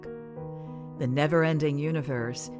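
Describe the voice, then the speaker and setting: Over music in the background, a woman speaks in a very deep, low voice with lively intonation. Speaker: veteran voice actor and radio announcer. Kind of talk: poetry reading with narration over music.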